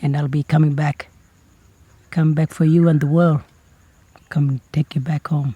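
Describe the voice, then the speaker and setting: A man talks in a dark, mellow, somewhat breathy tone with monotone, flat intonation. Long, frequent pauses break his speech, and the sound is dry and close with no echo. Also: fairly high pitch for a man, moderate pace. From Northern Territory, Australia. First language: Kriol. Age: 20s. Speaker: singer-songwriter. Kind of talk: testimony. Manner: halting.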